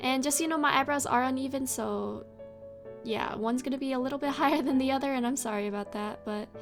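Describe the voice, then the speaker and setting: Soft-spoken and high-pitched, a woman talks at a fairly quick pace with fairly even intonation while music plays in the background. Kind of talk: casual makeup tutorial talk to camera.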